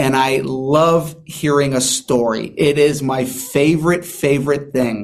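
With an American accent and an unremarkable speaking voice, a man of fairly high pitch talks in fairly even tones, hardly pausing. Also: fairly slow pace. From San Diego, California. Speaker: magician and mentalist. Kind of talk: interview.

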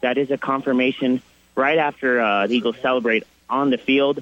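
A man with a normal speaking voice talks at a fairly high pitch. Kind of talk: live radio field report on a playoff game. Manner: quick, informal, stat-rich with fillers.

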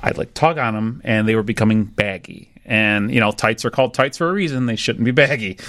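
This is a plain, everyday voice moving at a fairly quick pace. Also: man. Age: 30s. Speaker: home cook and pizza maker. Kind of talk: interview, personal story. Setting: studio.

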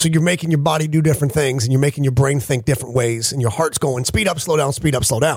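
Somewhat breathy and fairly high-pitched, a man talks at a very fast pace with hardly any pauses, very even loudness and ordinary pitch variation. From upstate New York. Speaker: radio host. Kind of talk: casual banter on a sports radio show. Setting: radio studio.

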